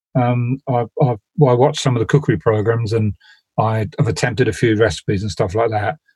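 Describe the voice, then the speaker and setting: Somewhat breathy and at a fairly quick pace, a man with a Cockney accent speaks at a medium pitch with ordinary pitch variation, in a dry, close sound with no echo. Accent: Cockney London. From South London. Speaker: builder. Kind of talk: casual chat.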